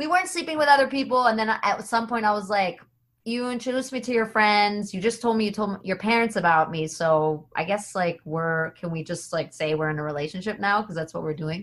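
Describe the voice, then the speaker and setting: An ordinary speaking voice from a woman with an American accent, medium in pitch, lively in intonation, fairly quick and with hardly any pauses. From United States. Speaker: comedian and voice actor. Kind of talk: casual chat.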